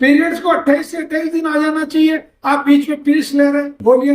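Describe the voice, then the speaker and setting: The man's speech moves at a moderate pace. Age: 60s. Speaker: ayurvedic healer. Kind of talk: health talk to audience. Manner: conversational, with fillers.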